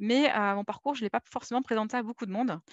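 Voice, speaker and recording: Against a quiet background with a dry, close sound and no echo, a woman speaks at a very fast pace, her fairly high pitch showing ordinary variation. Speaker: UX designer for games. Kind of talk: conference talk.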